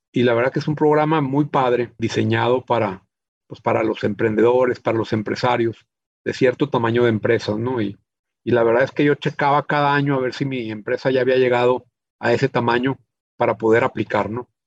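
A man talks at a fairly quick pace and a medium pitch. The sound is dry and close with no echo, and his intonation is fairly even. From Chihuahua, northern Mexico. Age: 50s. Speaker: business owner. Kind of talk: interview. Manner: halting, frequent repetitions.

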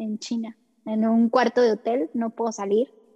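At a moderate pace, a woman with a fairly high pitch and a dark, mellow tone is heard in a dry, close sound with no echo. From Mexico. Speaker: English teacher. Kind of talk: personal testimony. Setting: hotel room in quarantine.

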